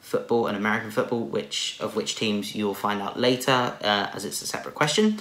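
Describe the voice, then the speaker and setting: A man with a medium pitch talks as noticeable background noise carries on. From southern England, Watford/North London. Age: 20s. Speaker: vlogger. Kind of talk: casual Q&A vlog.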